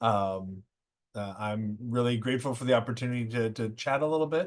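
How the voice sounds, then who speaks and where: With an American accent, a man speaks at medium pitch with ordinary pitch variation. The background is quiet. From California. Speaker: professor. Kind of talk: online presentation. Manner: halting, many fillers.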